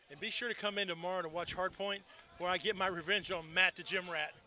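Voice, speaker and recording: A man with an American accent speaks at a fairly quick pace in a raised, projected voice, high-pitched with an animated tone. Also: long, frequent pauses. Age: 60s. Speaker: paintball commentator. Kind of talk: live commentary.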